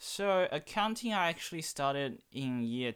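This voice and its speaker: A man speaks with a Chinese accent. His intonation is lively. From China. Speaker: student guest. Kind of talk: casual interview.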